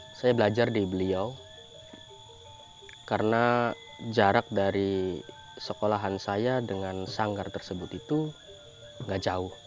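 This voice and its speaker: With music in the background, a man at a fairly low pitch speaks at a very slow pace with long, frequent pauses and ordinary pitch variation. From Cirebon, West Java, Indonesia. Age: 20s. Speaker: mask carver. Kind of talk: documentary interview. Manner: informal, with hesitations.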